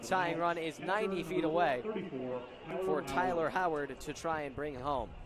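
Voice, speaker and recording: A man's high-pitched voice with ordinary pitch variation and hardly any pauses, music playing in the background. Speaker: baseball play-by-play broadcaster. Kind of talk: live baseball play-by-play commentary.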